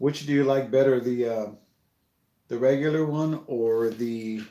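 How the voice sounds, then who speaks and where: A man at a fairly slow pace, medium pitch, fairly even intonation, long and frequent pauses, and a dark, mellow tone. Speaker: toy building livestreamer. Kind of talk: casual livestream chat. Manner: loud.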